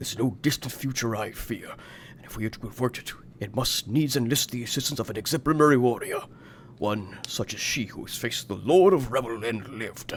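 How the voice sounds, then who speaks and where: Putting on a character voice, a man talks at a fairly quick pace and medium pitch over clear background noise. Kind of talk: archaic, old-fashioned formal speech. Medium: game stream. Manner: courtly, gentle, wise.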